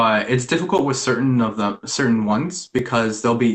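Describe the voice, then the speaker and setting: A man with a normal speaking voice, medium pitch, ordinary pitch variation and a fairly quick pace. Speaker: spiritual practitioner. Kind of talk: casual interview.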